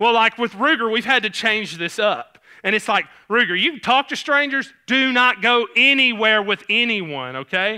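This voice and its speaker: In a Southern US accent, a man with a high pitch and a bright, sharp tone uses a raised, projected voice with very wide pitch swings at a moderate pace, captured on a very clean recording with a silent background. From Tennessee (Clarksville). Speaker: pastor. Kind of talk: sermon. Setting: church. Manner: casual, halting with fillers.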